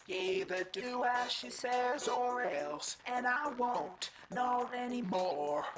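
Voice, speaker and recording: In a put-on character voice pitched fairly high, the speaker sounds anxious, talking at a very slow pace with hardly any pauses over clear background noise. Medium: video game. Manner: anxious, rhyming sing-song.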